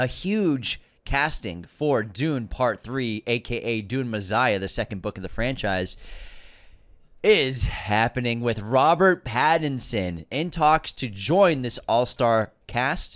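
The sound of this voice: In a very clean recording with a silent background, a man with an American accent talks slowly at a medium pitch, with lively intonation and a fairly bright tone.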